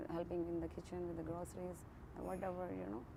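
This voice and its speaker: Audible room echo surrounds a woman speaking in an Indian accent. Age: 40s. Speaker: interviewee, woman living in a shelter. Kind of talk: interview testimony. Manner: halting, many fillers and restarts.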